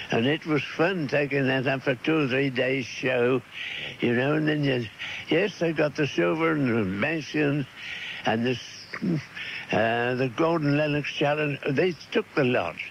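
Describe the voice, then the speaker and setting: A man with a fairly high pitch, against noticeable background noise. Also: ordinary pitch variation. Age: 80s+. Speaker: gardener. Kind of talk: interview answer. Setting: radio broadcast, cassette recording.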